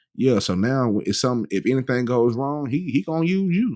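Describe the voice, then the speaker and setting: With an American accent and lively intonation, a man speaks on a very clean recording against a silent background. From Texas. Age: 30s. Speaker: podcast host. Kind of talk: casual chat. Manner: fast.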